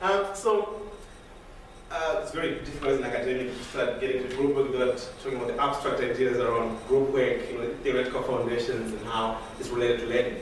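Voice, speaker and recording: There is audible room echo and noticeable background noise. A man talks at a very fast pace with lively intonation. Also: medium pitch for a man. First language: not English. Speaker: university lecturer. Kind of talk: academic presentation. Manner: halting, many fillers.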